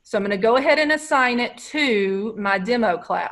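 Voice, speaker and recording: A woman speaks in a normal speaking voice, fairly high in pitch. The background is quiet. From Texas. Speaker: educational technology trainer; teacher presenting to colleagues. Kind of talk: webinar tutorial. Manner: casual, conversational. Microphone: video call.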